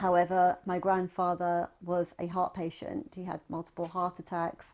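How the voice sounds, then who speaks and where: A woman speaks in a London accent at a moderate pace. Her pitch is fairly low and her intonation fairly even. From Southwest London. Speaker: technology professional and writer. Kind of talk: oral history interview.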